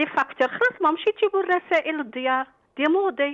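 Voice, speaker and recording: A woman speaks with an Algiers accent and lively intonation. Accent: Algiers Arabic with French code-switching. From Algeria. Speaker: caller. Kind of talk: phone-in complaint. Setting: phone call. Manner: animated.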